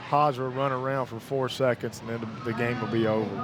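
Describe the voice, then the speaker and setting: Monotone, flat delivery at a fairly quick pace in a Kentucky accent, with noticeable background noise. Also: man. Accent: Harlan County Kentucky. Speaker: radio sports commentator. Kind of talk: live radio sports commentary.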